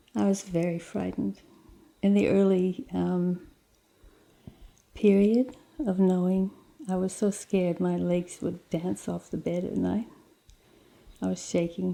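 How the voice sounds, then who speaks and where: With an Australian accent, a woman speaks, leaving long, frequent pauses. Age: 60s. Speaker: terminally ill patient. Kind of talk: personal testimony interview.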